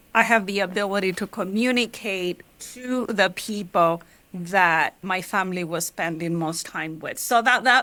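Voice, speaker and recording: At a moderate pace, a woman speaks with a Mexican accent and ordinary pitch variation. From Mexico, Michoacán (rural). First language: Spanish. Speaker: journalist. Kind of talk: interview.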